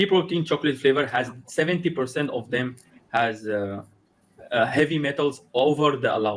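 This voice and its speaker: Speaking with a non-native accent, a man uses a fairly high pitch and ordinary pitch variation. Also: moderate pace. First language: not English. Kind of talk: conversational interview. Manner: halting, with many repetitions and restarts.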